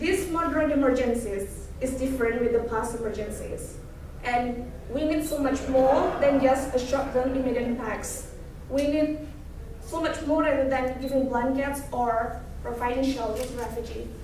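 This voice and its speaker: A woman's high-pitched voice at a moderate pace with ordinary pitch variation, plus noticeable background noise and audible room echo. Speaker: student speaker. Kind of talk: presentation talk. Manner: halting.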